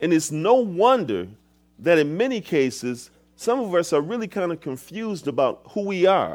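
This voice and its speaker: A man with an American accent, high-pitched with very wide pitch swings, on a very clean recording with a silent background. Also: moderate pace. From Michigan, US. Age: 50s. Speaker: guest pastor. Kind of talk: sermon. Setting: church.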